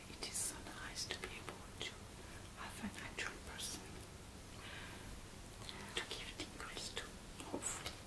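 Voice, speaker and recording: Soft-spoken whispering in a gentle tone, at a moderate pace with long, frequent pauses. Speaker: ASMR host giving a hair massage. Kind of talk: soft ASMR chat to viewers. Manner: gentle ASMR whisper. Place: home room.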